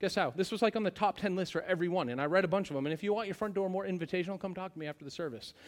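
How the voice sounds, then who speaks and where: Loud and animated, a man speaks at a very fast pace in a high pitch on a very clean recording with a silent background. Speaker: pastor. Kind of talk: sermon. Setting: church.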